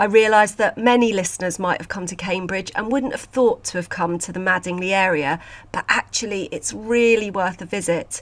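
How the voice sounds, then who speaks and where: A woman with a British accent talks at a fairly quick pace and medium pitch, with hardly any pauses. Her pitch varies in an ordinary way while her loudness swings widely. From UK. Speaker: podcast host and sculpture conservator. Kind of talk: casual podcast monologue.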